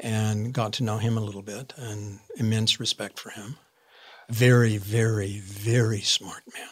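Fairly low-pitched and somewhat breathy, a man talks at a fairly slow pace with an American accent. His intonation is monotone and flat, while his loudness swings widely. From Arizona, US. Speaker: actor. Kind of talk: interview.

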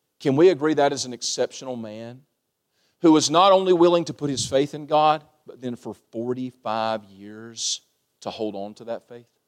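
This man talks at a moderate pace, his loudness swinging widely. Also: medium pitch for a man, ordinary pitch variation. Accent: Kentucky. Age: 30s. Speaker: pastor. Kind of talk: sermon. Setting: church. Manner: animated.

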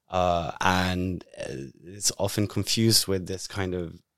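On a very clean recording with a silent background, a man with a British accent speaks very slowly at a very deep, low pitch. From Britain. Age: 30s. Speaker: podcast host, survivor advocate. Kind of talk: interview.

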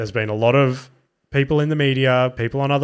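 A man's medium-pitched voice with an Australian accent, fairly even intonation and a fairly quick pace. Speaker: comedian podcast host. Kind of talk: solo casual podcast monologue. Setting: studio. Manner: rambling, casual, profane.

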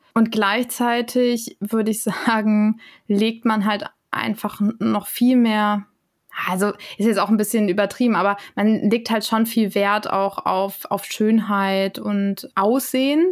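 Pitched fairly high, a woman speaks at a very slow pace with fairly even intonation. The recording is very clean, with a silent background. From Germany. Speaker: intercultural trainer and lecturer. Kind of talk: casual interview.

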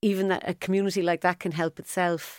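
A woman with a Cork accent speaks at a fairly quick pace and medium pitch in monotone, flat intonation, with a dry, close sound with no echo in a very clean recording with a silent background. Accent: Cork Irish. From Ireland, Cork. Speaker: sports business consultant. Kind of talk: interview. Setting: studio.

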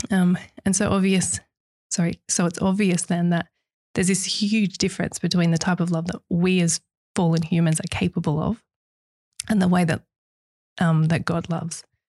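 Long, frequent pauses break up a somewhat breathy, dark, mellow voice with fairly even intonation and very even loudness, recorded dry and close with no echo. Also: woman, fairly low pitch for a woman, moderate pace. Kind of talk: casual faith discussion.

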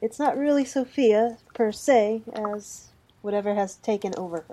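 Speaking at a fairly slow pace, a woman uses a plain, everyday voice that is fairly high, with ordinary pitch variation. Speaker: player character in tabletop game. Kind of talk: casual roleplaying game chat.

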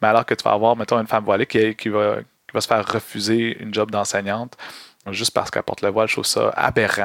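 A man's fairly low, monotone voice, flat in intonation and fairly quick in pace. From Quebec, Montreal. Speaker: activist and content creator, former drama teacher. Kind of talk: casual interview.

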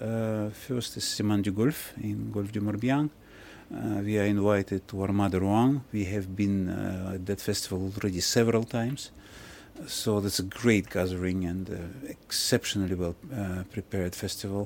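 A man with a Russian accent speaks at a moderate pace, fairly low in pitch, with fairly even intonation. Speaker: ship captain. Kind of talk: interview. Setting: on board a ship.

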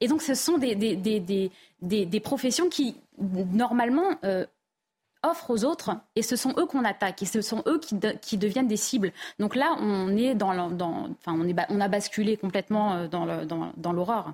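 A woman's fairly high, somewhat breathy voice at a fairly slow pace, with very wide pitch swings. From France, Paris suburbs (Val-d'Oise). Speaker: journalist and author. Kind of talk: TV panel debate. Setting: TV studio.

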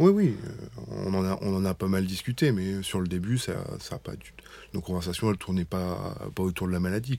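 Moving at a moderate pace, a man speaks with a very deep, low pitch, ordinary pitch variation and a dark, mellow tone. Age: 30s. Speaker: general practitioner and patient's husband. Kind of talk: testimony. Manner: halting.

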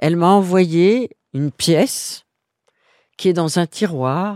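At a very slow pace, a woman speaks with a fairly low pitch, a dark, mellow tone and ordinary pitch variation, in a dry, close sound with no echo and a very clean recording with a silent background. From Guinea, West Africa (French expatriate childhood). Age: 70s. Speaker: interviewee on fashion and style. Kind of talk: personal interview. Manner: hesitant, frequent fillers.

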